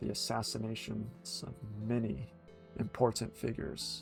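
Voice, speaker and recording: A man's medium-pitched voice comes through as music plays behind it. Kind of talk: ASMR book reading; livestream reading from a game guidebook.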